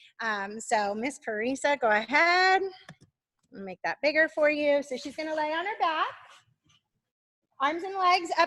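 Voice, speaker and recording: A woman with a high pitch uses a raised, projected voice full of very wide pitch swings and long, frequent pauses. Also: big swings in loudness. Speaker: gymnastics coach and gym owner. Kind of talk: online teacher training demonstration. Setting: live video stream in a gym.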